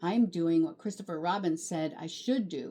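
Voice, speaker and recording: A woman puts on a growling character voice at a fairly low pitch. Her pace is moderate. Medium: read story. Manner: timid.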